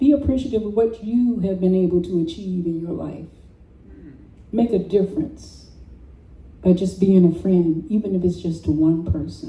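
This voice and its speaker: A woman with an American accent speaks at a moderate pace in a medium-pitched, somewhat breathy voice with a dark, mellow tone, ordinary pitch variation, and long, frequent pauses. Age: 70s. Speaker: storyteller. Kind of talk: personal storytelling. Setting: open mic with audience.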